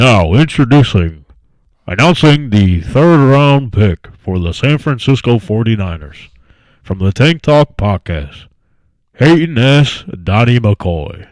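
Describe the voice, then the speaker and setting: A man speaks in a booming, put-on character voice at medium pitch and a fairly slow pace. The recording is very clean, with a silent background. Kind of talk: formal broadcast announcement. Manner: ceremonial, dramatic.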